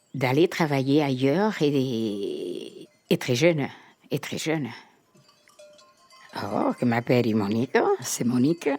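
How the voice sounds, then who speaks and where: With music in the background, a woman with a very deep, low pitch speaks very slowly with lively intonation and long, frequent pauses. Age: 80s+. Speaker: retired farmer. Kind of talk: interview testimony.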